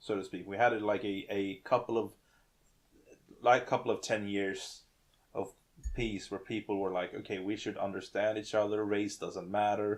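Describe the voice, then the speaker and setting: Over a quiet background, a man with a fairly low pitch talks at a moderate pace in a monotone, flat intonation, leaving long, frequent pauses. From Sweden. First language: Swedish. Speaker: gaming podcast co-host. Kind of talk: casual chat. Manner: halting.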